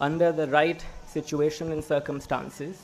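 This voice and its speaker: A man with a Gujarati accent speaks with a fairly high pitch. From Gujarat, India. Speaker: graduating student. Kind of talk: speech. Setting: stage with audience.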